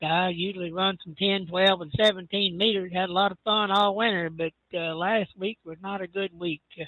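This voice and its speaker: This man has a high pitch. His intonation is fairly even. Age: 70s. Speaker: amateur radio operator, volunteer firefighter. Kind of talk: radio net check-in.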